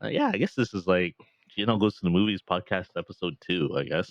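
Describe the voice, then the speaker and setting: A man talks at a moderate pace in a very deep, low pitch with ordinary pitch variation. The sound is dry and close, without echo. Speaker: movie podcast host. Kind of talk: casual chat. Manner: halting, many fillers.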